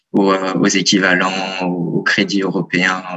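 A man talks with a fairly low pitch. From France, Lyon. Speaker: university student. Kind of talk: radio interview. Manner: hesitant, many fillers.

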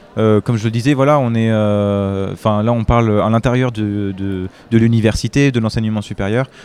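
The speaker is a man. He talks at a moderate pace. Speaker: student representative. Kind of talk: interview. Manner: halting.

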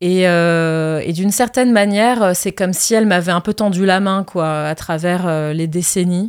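On a very clean recording with a silent background, a woman speaks at a fairly slow pace with hardly any pauses and ordinary pitch variation. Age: 30s. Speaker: actress and singer. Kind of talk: interview. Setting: studio. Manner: hesitant.

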